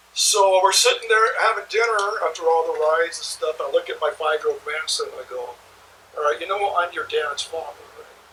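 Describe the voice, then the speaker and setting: A man talks at a fairly quick pace with big swings in loudness. Noticeable background noise runs underneath. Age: 60s. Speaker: blues guitarist and interviewer. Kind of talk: casual chat. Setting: studio. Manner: animated.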